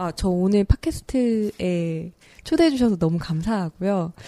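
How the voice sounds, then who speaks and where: Here is a normal speaking voice with lively intonation. The recording is very clean, with a silent background. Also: woman. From Seoul. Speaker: environmental campaigner. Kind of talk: casual chat. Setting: studio.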